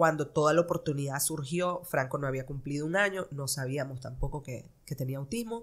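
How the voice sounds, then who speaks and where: In a Nicaraguan accent, a woman speaks at a fairly quick pace with hardly any pauses, her very deep, low pitch showing ordinary variation. The background is quiet. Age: 30s. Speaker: fashion designer; podcast guest. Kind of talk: interview. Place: studio. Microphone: studio mic.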